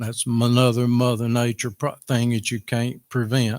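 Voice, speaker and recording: A man's medium-pitched voice with a Tennessee accent, dry and close with no echo. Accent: Southern US, Tennessee. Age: 70s. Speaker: farmer making public comment. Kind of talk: public comment at meeting. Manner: halting.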